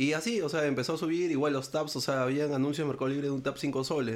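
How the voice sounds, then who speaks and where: In a very clean recording with a silent background, a man with a normal speaking voice talks at a medium pitch and a fairly quick pace, keeping his intonation fairly even. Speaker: collector, founder of an online collecting group. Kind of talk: casual chat.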